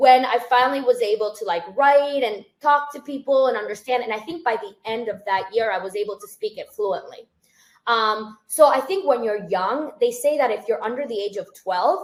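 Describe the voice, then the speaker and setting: A woman's high voice with a slight Spanish accent, lively intonation, big swings in loudness and a moderate pace. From Spain, moved to Boston area at nine. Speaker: financial advisor, firm founder. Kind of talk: podcast interview. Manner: casual, filler-heavy (like, um).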